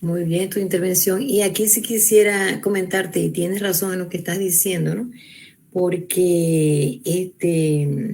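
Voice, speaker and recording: At a very slow pace, a woman with a medium pitch and a dark, mellow tone speaks with ordinary pitch variation. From Venezuela. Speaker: psychologist lecturer. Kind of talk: lecture.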